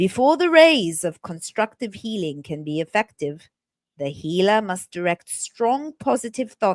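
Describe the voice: Plain reading aloud, the background quiet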